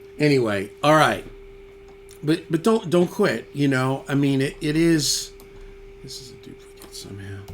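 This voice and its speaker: Speaking with lively intonation and long, frequent pauses, a man with a fairly high pitch shifts loudness in big swings. Noticeable background noise runs beneath him. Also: moderate pace. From New York (Yonkers). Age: 60s. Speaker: musician and YouTuber. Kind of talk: casual chat reading viewer comments.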